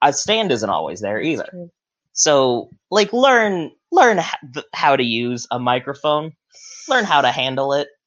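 A man's animated, fairly high voice with very wide pitch swings, a fairly slow pace and long, frequent pauses. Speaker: podcast host. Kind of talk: casual banter chat. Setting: livestream with chat. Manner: joking, animated.

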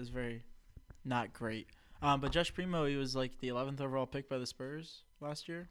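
Rushing at a very fast pace, a man keeps a medium pitch and fairly even intonation. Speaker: podcast co-host. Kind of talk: casual chat.

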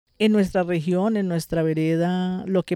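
The sound is dry and close with no echo as a woman with a dark, mellow tone speaks at a fairly low pitch and with fairly even intonation. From Colombia, Tolima (rural Chaparral). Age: 50s. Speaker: farmer and community leader. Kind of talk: interview testimony. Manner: halting, with repetitions.

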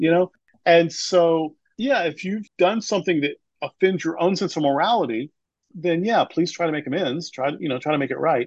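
An unremarkable speaking voice belongs to a man with a fairly high pitch and ordinary pitch variation. He moves at a fairly quick pace in a dry, close sound with no echo. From US South. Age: 50s. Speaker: pastor. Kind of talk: interview.

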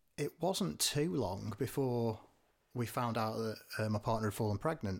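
Recorded very cleanly against a silent background, a man speaks at a moderate pace with ordinary pitch variation. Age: 40s. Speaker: podcast co-host, father. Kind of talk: casual chat. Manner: halting, many fillers.

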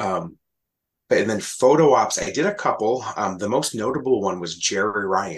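With lively intonation and a moderate pace, a man with a plain, everyday voice speaks at a fairly low pitch. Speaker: podcaster and fan group admin. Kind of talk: casual chat.

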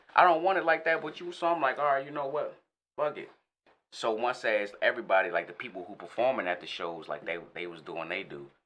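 A man at a medium pitch with vocal fry, very wide pitch swings and a very fast pace. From Northern Virginia, DMV area (Alexandria). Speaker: rapper. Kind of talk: casual interview. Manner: animated.

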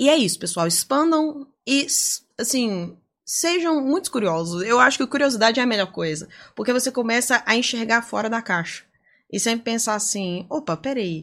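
Very wide pitch swings mark this moderate-paced speech on a very clean recording with a silent background. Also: woman, fairly high pitch for a woman. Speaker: data privacy lawyer and lecturer. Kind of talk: podcast interview.

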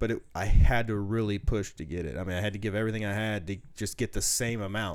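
Talking at a fairly quick pace, a man with a fairly low pitch has a slight Southern US accent. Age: 30s. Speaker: powerlifter. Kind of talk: casual chat.

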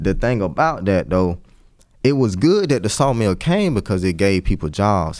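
A man with an American accent speaks at a moderate pace. The recording is very clean, with a silent background. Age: 30s. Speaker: entrepreneur. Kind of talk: casual chat.

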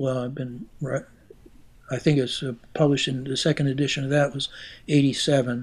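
A man speaks with an American accent at a fairly high pitch and a moderate pace. His intonation is monotone and flat, and the recording is very clean with a silent background. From Pennsylvania, Pittsburgh area. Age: 70s. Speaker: retired music professor and keyed bugle performer. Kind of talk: interview. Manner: halting.

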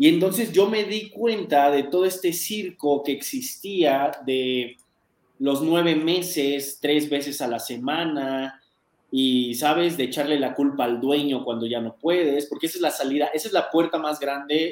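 Here is an ordinary speaking voice from a man, pitched fairly high. He talks at a fairly slow pace with ordinary pitch variation. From Mexico City. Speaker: dog trainer. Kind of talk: interview conversation.

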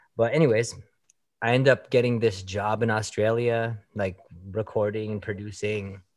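A man with a Canadian accent talks at a moderate pace in an unremarkable speaking voice. His pitch is fairly low, and his intonation stays fairly even. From Canada, Toronto. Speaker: songwriter and producer. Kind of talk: interview. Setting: video call.

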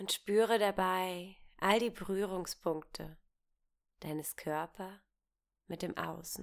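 In a very clean recording with a silent background, a woman speaks at a medium pitch in a gentle, soothing tone. Her pace is very slow, with long, frequent pauses and fairly even intonation. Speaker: meditation guide. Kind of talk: guided meditation. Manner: slow, gentle, soothing pace with long pauses; warm, intimate, calm and reassuring.

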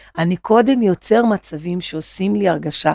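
In a dark, mellow tone, a woman speaks at a fairly slow pace and medium pitch with very wide pitch swings, the sound dry and close with no echo on a very clean recording with a silent background. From Brazil, Rio de Janeiro. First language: Portuguese (speaking Hebrew). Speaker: psychoanalytic therapist. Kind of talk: podcast interview. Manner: halting.

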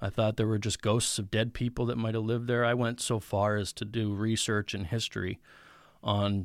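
In a very clean recording with a silent background, a man with an American accent and an unremarkable speaking voice talks at a fairly quick pace at medium pitch, with fairly even intonation. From central Pennsylvania. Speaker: truck driver and former metal guitarist. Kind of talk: testimony. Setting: studio.

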